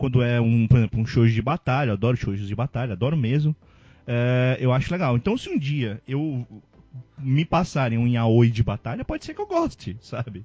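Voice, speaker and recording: Speaking at a moderate pace, a man sounds somewhat breathy at a medium pitch. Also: ordinary pitch variation. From Ceará, Brazil. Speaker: podcast host. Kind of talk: casual chat.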